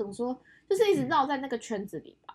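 A woman with a Taiwanese accent speaks at a fairly quick pace. Her tone is animated, with very wide pitch swings. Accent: Taiwanese Mandarin. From Taiwan, Yunlin (Huwei). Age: 20s. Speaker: podcast co-host, design student background. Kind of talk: casual chat. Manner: animated, laughing often.

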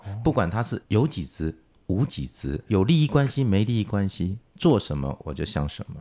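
In a dark, mellow tone and a fairly low pitch, a man talks at a moderate pace with very wide pitch swings. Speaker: engineering consultancy founder. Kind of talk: casual interview.

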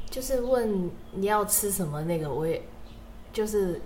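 In a Cantonese accent, a woman talks fairly slowly with ordinary pitch variation, and room echo is audible. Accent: Cantonese-accented Mandarin. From Hong Kong. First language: Cantonese (speaking Chinese). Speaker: university student podcast co-host. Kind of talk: casual chat.

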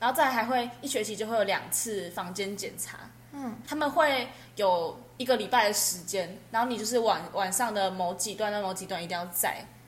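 A woman speaks at a moderate pace with a fairly high pitch and ordinary pitch variation. The room echo is audible, and there is noticeable background noise. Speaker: university student. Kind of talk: casual chat.

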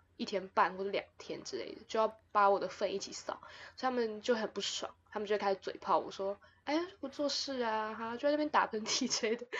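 Fairly quick and fairly high-pitched, a woman speaks with ordinary pitch variation and big swings in loudness. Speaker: podcast host. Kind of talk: casual chat.

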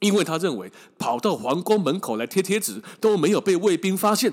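In a very clean recording with a silent background, a man with a high pitch speaks at a moderate pace. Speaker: travel podcast host, former tour leader. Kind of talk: casual storytelling monologue. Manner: slightly labored speech.

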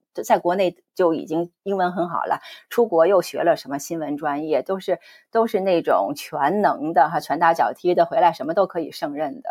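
Recorded with a dry, close sound and no echo, a woman speaks at a moderate pace with a fairly low pitch and ordinary pitch variation. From China. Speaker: podcast host and former TV news producer. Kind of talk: interview. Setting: video call.

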